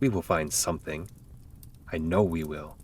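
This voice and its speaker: A man puts on a character voice. His pitch sits very deep and low, with clear background noise behind him. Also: moderate pace. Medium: read story. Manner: stammering when upset.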